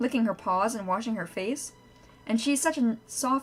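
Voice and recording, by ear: With ordinary pitch variation, the speaker reads aloud in a natural voice.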